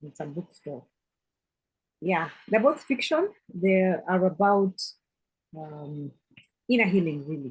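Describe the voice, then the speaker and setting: This woman has a Kenyan accent and a medium pitch, with a somewhat breathy sound and lively intonation. She talks at a very slow pace with long, frequent pauses and big swings in loudness. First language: Kikuyu. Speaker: author. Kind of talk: group video chat interview.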